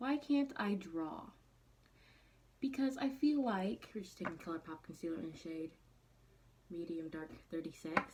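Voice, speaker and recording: Amid noticeable background noise, a woman's voice makes very wide pitch swings. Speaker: beauty vlogger. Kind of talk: makeup tutorial. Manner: casual, chatty.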